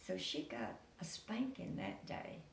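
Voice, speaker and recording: A woman with a rural Tennessee accent is heard with audible room echo. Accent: Southern US, Tennessee rural. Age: 90s. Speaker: storyteller. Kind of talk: oral storytelling, family memories.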